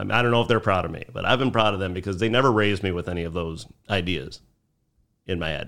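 Speaking at a very fast pace, a man has a very deep, low voice with ordinary pitch variation and a Chicago accent. The recording is very clean with a silent background. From Chicago South Side. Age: 40s. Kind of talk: casual chat.

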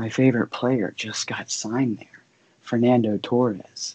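A man's medium-pitched voice keeps fairly even intonation. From eastern Ohio, near West Virginia border. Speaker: Air Force veteran, soccer fan. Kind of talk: casual podcast interview. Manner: hesitant, many fillers.

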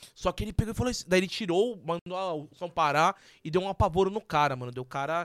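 A man's high-pitched voice at a very fast pace, dry and close with no echo, on a very clean recording with a silent background. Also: ordinary pitch variation. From São Paulo area. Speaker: podcast co-host. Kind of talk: casual chat.

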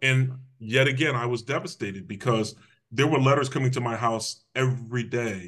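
An ordinary speaking voice from a man with an American accent, medium in pitch, at a moderate pace with fairly even intonation. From Connecticut (Hamden, near New Haven). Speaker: public safety official, former police officer. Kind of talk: interview, personal life story.

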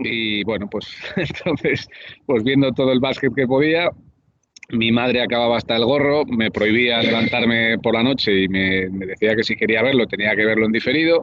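The man uses a normal speaking voice at a medium pitch. He talks at a moderate pace. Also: ordinary pitch variation. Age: 30s. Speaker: basketball commentator. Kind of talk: casual interview. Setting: cafe.

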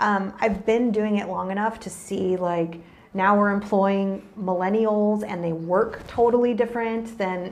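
A woman with an American accent speaks at a fairly slow pace with fairly even intonation, amid noticeable background noise and audible room echo. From Texas, San Antonio and Austin area. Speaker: property manager. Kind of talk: casual interview.

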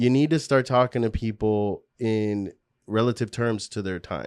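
An unremarkable speaking voice from a man, pitched in the medium range and varying in pitch in an ordinary way. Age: 40s. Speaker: entrepreneur and studio owner. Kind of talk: casual interview.

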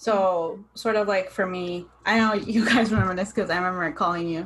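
An unremarkable speaking voice with an American accent moves at a moderate pace. Its pitch varies in an ordinary way. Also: woman. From Southern California (San Diego). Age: 20s. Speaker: podcast host. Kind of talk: casual chat.

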